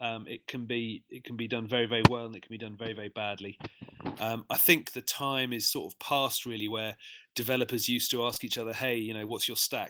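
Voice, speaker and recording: Talking at a very fast pace in an English accent, a man with a bright, sharp tone keeps a monotone, flat intonation in a very clean recording with a silent background. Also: medium pitch for a man. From England, London. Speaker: software developer. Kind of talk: interview. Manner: hesitant, many fillers.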